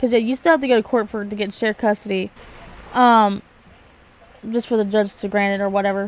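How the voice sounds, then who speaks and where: Noticeable background noise sits behind a woman with a fairly high pitch and fairly even intonation. She speaks at a very fast pace, broken by long, frequent pauses. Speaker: podcast co-host. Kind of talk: casual chat.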